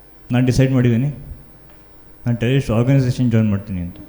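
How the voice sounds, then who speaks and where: His intonation stays fairly even. Noticeable background noise sits behind the man's voice. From Shivamogga, Karnataka. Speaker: stand-up comedian. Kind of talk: live stand-up comedy set.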